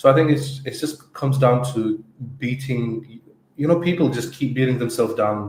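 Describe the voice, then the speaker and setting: A somewhat breathy man talks at a moderate pace. His pitch is medium, with ordinary variation. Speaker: agency co-founder and podcast co-host. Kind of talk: casual podcast discussion. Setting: live stream. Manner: halting, with repetitions.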